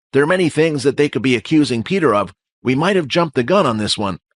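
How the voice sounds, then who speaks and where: A put-on character voice at a very fast pace. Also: man, fairly high pitch for a man, lively intonation. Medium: audio drama. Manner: measured.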